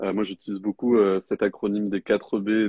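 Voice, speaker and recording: A man speaks in a fairly low, flat, monotone voice. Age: 20s. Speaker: life coach. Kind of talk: live interview. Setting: livestream. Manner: halting, many fillers.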